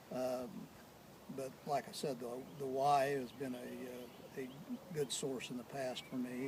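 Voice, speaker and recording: At a very slow pace, a man talks with fairly even intonation at a medium pitch, with noticeable background noise behind him. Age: 70s. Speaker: retired tree farmer. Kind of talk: interview. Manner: hesitant, many fillers.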